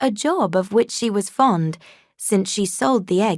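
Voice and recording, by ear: The speaker is reading aloud in a natural voice with lively intonation. The background is quiet.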